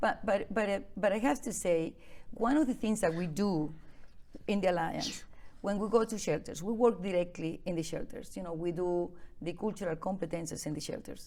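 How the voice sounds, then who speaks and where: In a Venezuelan accent, a woman speaks at a moderate pace with a dark, mellow tone, medium pitch and lively intonation. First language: Spanish. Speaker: immigrant advocate. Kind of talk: interview.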